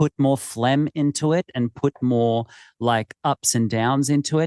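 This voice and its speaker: A man with an Australian accent at a fairly slow pace, ordinary pitch variation, a dry, close sound with no echo, and a quiet background. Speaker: podcast host, horse trainer. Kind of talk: casual interview conversation.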